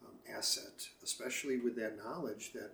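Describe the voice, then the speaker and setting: A medium-pitched, somewhat breathy man with an American accent, at a moderate pace. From Chicago, US Midwest. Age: 60s. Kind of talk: casual interview. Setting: at home by the lake.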